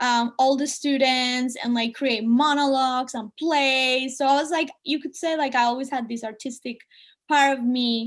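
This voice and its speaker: With a Spanish accent, a woman speaks at a high pitch and a moderate pace, with fairly even intonation, against a quiet background. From Colombia (Medellin). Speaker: artist and speaker. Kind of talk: talk to students (webinar). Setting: video call webinar.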